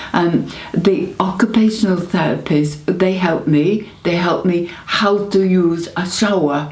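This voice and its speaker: Delivered at a fairly slow pace with hardly any pauses and fairly even intonation, the speech has a northern English accent, noticeable background noise and audible room echo. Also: woman, fairly low pitch for a woman. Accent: northern English (Greater Manchester). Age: 70s. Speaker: stroke patient. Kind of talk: testimony. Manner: halting, hesitant with fillers and repetitions.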